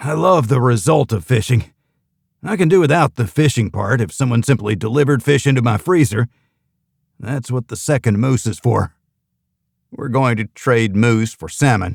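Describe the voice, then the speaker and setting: Putting on a gruff character voice, a man delivers deadpan lines at a moderate pace and medium pitch with lively intonation, the sound dry and close with no echo. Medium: read story. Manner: gruff, blunt, deadpan.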